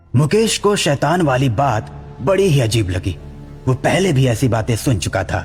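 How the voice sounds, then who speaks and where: Over clear music in the background, a man uses a cartoonish character voice at medium pitch and a moderate pace. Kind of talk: horror story narration.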